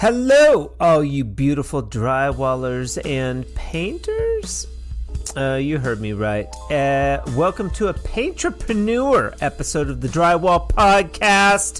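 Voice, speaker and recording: Music plays in the background. A man talks at a very slow pace. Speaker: podcast host. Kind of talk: podcast intro.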